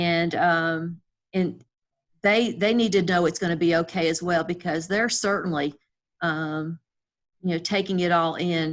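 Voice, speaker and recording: A woman's fairly low voice, a plain, everyday voice, at a moderate pace with fairly even intonation. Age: 60s. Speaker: school district director. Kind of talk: interview. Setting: video call.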